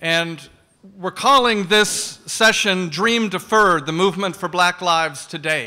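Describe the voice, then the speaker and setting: Over a quiet background, a man speaks at a high pitch with a bright, sharp tone and ordinary pitch variation. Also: fairly slow pace. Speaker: forum moderator and clergy member. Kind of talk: prayer and panel moderation. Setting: church forum with live audience, streamed online. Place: hall. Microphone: podium.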